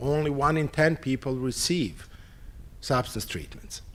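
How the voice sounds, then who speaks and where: A man speaks at a moderate pace with a Serbian accent. His voice sits fairly high. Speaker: psychiatry professor. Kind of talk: conference opening talk / lecture. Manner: halting, with fillers.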